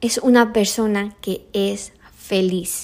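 Her pitch is medium for a woman. The rise and fall of her voice is ordinary. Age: 30s. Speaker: podcast host. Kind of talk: solo motivational monologue. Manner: casual, with many fillers.

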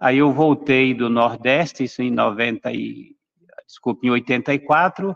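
Recorded with a dry, close sound and no echo, a man talks at a medium pitch with ordinary pitch variation. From Brazil, São Paulo. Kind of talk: panel discussion testimony. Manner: hesitant, many fillers. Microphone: unstable internet connection.

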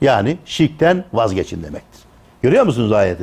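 A man speaks at a moderate pace with vocal fry. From Turkey, Tokat. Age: 60s. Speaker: retired theology professor. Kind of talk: lecture.

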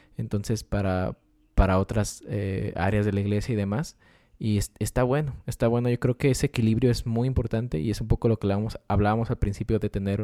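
Fairly quick speech from a man with a dark, mellow tone, fairly low in pitch, with fairly even intonation, dry and close with no echo, on a very clean recording against a silent background. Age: 20s. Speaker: podcast co-host. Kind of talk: casual chat.

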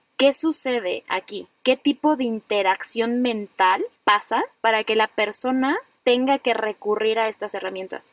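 With a Mexican accent, a woman talks at a fairly slow pace and ordinary pitch variation. Her sound is dry and close, with no echo. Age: 30s. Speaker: podcast host, psychologist. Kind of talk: casual chat.

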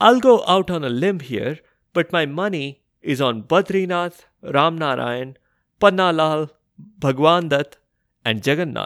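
With an unremarkable speaking voice, a man talks at a fairly slow pace in a fairly high pitch and lively intonation, recorded very cleanly over a silent background. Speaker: storyteller podcast narrator. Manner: measured, storybook pacing.

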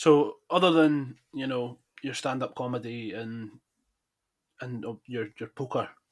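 There are long, frequent pauses and big swings in loudness as a man with a medium pitch speaks at a fairly slow pace. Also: ordinary pitch variation. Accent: central Scottish. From Falkirk, Scotland. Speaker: podcast host. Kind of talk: casual interview.

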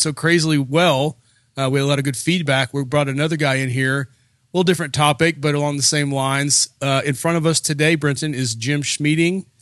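On a very clean recording with a silent background, a man speaks in a plain, everyday voice at a fairly high pitch and fairly quick pace, with fairly even intonation. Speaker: podcast host. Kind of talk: casual interview. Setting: studio.

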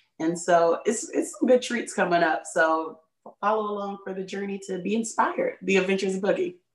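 A woman with an American accent speaks in a normal speaking voice at a medium pitch, with lively intonation and a fairly quick pace. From Chicago area, US. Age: 30s. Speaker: content creator. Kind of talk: casual interview.

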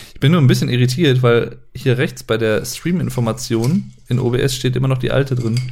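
A man with a medium pitch and vocal fry speaks at a moderate pace with fairly even intonation and hardly any pauses. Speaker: podcast co-host. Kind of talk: casual chat. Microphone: poor audio quality, less noise removal.

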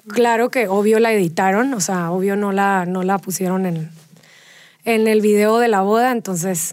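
Medium-pitched woman's voice, an ordinary speaking voice, moderately paced, with fairly even intonation. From Mexico, Tijuana. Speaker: fitness studio founder. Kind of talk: interview.

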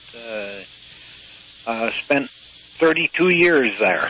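Over noticeable background noise, a man speaks at a very slow pace with ordinary pitch variation. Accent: Upper Midwestern. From US Midwest, Michigan. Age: 80s+. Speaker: retired sailor, blind school graduate. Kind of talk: interview. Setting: phone call. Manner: halting.

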